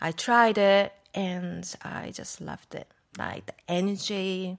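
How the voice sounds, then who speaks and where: In a quiet background, a woman talks with a Japanese accent. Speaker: raw food cafe owner. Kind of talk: casual interview. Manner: halting.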